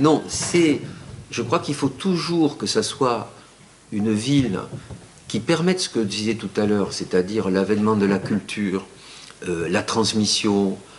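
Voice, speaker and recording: A man with a southern French accent, fairly low in pitch, speaking at a fairly slow pace with long, frequent pauses. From southern France. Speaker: architect. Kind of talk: lecture. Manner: halting, many fillers and repetitions.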